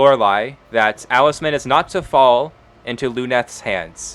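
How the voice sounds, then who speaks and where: Music plays in the background. A man speaks at a very slow pace and a medium pitch. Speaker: game master of a tabletop roleplaying game. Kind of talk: tabletop roleplaying game narration.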